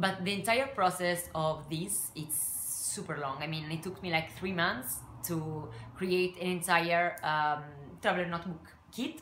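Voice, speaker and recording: A woman speaks fairly slowly in an Italian accent, at a fairly low pitch with ordinary pitch variation. Audible room echo and noticeable background noise come through. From Italy. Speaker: craft and scrapbooking YouTuber. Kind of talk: casual vlog talk to camera. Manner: halting, many fillers.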